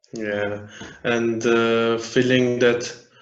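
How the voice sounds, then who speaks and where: Room echo is audible as a man of medium pitch speaks in a flat monotone. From Iran and Afghanistan. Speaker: refugee and aid worker. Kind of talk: interview. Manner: halting.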